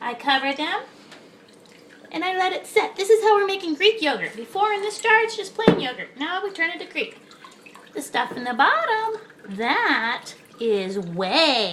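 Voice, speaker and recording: This cartoonish character voice has an extremely high pitch and a moderate pace broken by long, frequent pauses. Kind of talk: cooking tutorial. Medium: puppet. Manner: chatty, casual.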